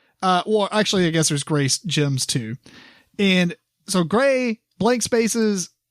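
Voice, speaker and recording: Very clean and silent in the background, with a dry, close sound and no echo, the recording has a man with a Kentucky accent speaking at a fairly slow pace, his high pitch swinging very widely. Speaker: board game podcast host. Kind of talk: casual chat. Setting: recording in the same room as co-host.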